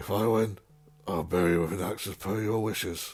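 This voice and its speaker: A man's raspy, fairly low-pitched put-on character voice at a fairly quick pace. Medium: read story. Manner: grave, honourable.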